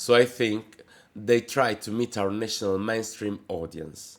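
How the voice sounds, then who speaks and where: An Italian accent at a moderate pace, on a very clean recording with a silent background. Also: man. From Italy. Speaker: drag queen. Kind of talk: reading aloud a letter. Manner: careful, read-out pace.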